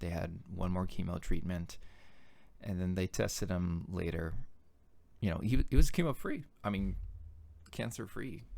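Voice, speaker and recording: In a very deep, low pitch and a dark, mellow tone, a man talks with long, frequent pauses. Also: ordinary pitch variation. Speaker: founder of a backyard ninja course. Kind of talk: personal video message. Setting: office. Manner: slow; halting.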